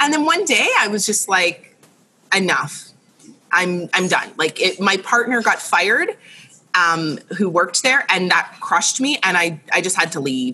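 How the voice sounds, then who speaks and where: Speaking fairly slowly in a Canadian accent, this is an unremarkable speaking voice with lively intonation. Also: woman, medium pitch for a woman. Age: 30s. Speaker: interior designer. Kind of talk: casual chat.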